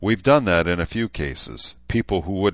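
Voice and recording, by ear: Someone reads aloud in a natural voice, and the pitch rises and falls in an ordinary way.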